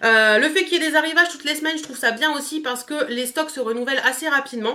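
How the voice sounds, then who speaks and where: A woman's raised, projected voice, very fast, bright and sharp in tone, with ordinary pitch variation. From northern France, Picardy. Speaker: beauty youtuber. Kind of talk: product review vlog. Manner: hesitant, many fillers.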